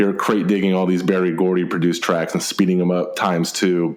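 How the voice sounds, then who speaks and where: Fairly quick speech in an American accent, with audible room echo and noticeable background noise. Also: man. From Texas. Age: 30s. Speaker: podcast host. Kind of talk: casual interview chat.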